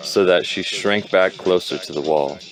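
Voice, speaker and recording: Over music in the background, a man speaks at a very deep, low pitch and a fairly slow pace. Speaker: amateur reader. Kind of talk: audiobook reading. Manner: halting, stumbling.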